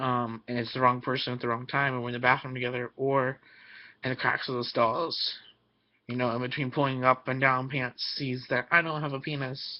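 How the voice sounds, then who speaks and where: A man's medium-pitched voice, fairly quick and monotone, with flat intonation. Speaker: vlogger. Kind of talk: personal vlog. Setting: webcam recording. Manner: hesitant, many fillers.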